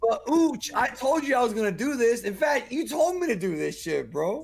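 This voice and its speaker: Extremely high-pitched, a man talks at a moderate pace in an animated tone with very wide pitch swings. Background noise is noticeable. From Cuba. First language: Spanish. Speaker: podcast guest. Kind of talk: casual chat. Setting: group call.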